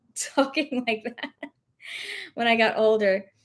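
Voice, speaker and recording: This woman has a slight Southern US accent. She talks at a fairly slow pace. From US South, rural. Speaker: thrift reseller live-streaming. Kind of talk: casual live stream chat. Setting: live stream at home.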